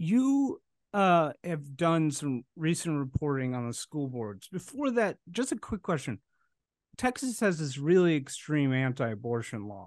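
A man's fairly high voice with an American accent, pitch swinging very widely, a fairly slow pace, dry close sound without echo and a quiet background. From US Midwest, Chicago. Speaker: podcast host. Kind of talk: interview.

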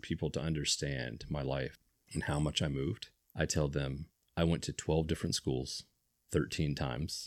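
At a moderate pace, a man with an American accent speaks in a very deep, low pitch with vocal fry and fairly even intonation. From US Midwest / North Carolina (military family). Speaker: community podcast host. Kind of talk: casual interview.

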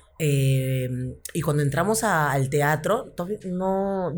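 A woman speaks with a very deep, low pitch and ordinary pitch variation. Her voice is somewhat breathy, with audible room echo. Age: 40s. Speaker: comedian. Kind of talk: casual chat.

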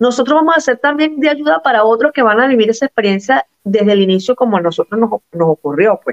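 A woman talks at a fairly quick pace with very even loudness. Her pitch swings very widely. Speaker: Venezuelan migrant guest. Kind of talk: interview.

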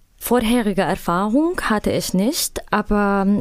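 With an Arabic accent, a woman speaks at a medium pitch. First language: Arabic (speaking German). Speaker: migrant labor counselor. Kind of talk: interview. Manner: halting.

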